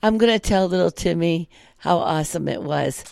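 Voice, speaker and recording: A woman with a plain, everyday voice, lively intonation and a moderate pace in a very clean recording with a silent background. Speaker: podcast co-host. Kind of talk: casual chat.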